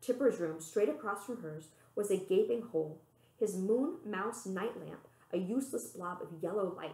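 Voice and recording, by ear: Natural-voiced reading aloud, lively in intonation.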